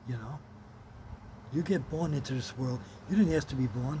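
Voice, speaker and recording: A man's somewhat breathy voice, dark and mellow in tone, at medium pitch with lively intonation. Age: 60s. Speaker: retired vlogger. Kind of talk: casual chat. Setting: outdoors. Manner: casual, profane.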